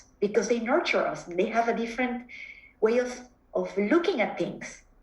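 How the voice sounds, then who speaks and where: A woman with a Mexican accent speaks at a moderate pace in a high voice. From Mexico. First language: Spanish. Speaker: psychotherapist. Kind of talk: interview conversation. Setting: video call. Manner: halting, frequent repetitions.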